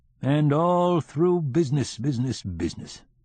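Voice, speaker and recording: Putting on a character voice, a man drawls at a moderate pace with a fairly high pitch and lively intonation. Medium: read story. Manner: slow, drawling, deliberate.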